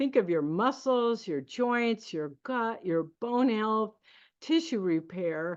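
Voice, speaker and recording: Against a quiet background, a woman with a fairly high pitch speaks at a very slow pace. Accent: American. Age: 60s. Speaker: network marketing distributor. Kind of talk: sales pitch. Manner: halting.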